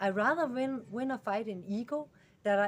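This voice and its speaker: A woman with a Danish accent, fairly slow in pace, with lively intonation. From Denmark. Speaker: animal rescuer vlogger. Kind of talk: casual vlog monologue. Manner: halting, many fillers.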